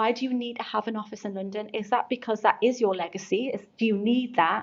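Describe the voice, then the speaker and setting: A woman's fairly high voice in a Geordie accent, very fast, with fairly even intonation. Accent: Geordie, never changed. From North East England (Geordie). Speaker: recruitment agency founder. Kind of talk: podcast interview.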